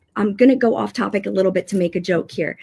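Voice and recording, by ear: A woman talks fast at medium pitch with ordinary pitch variation. Her tone is dark and mellow, with vocal fry and a slightly husky edge.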